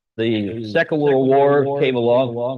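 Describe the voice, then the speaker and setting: Noticeable background noise sits behind a man speaking. His pitch is medium and his intonation fairly even. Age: 80s+. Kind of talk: video tribute interview.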